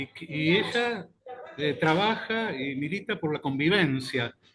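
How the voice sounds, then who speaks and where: A man speaks with lively intonation. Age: 60s. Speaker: journalist. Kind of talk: casual chat.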